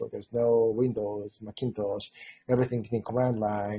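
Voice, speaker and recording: A man's medium-pitched voice with a Japanese accent, flat and monotone, at a moderate pace. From Japan, Tokyo. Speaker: robotics engineer. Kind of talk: interview. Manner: hesitant, many fillers.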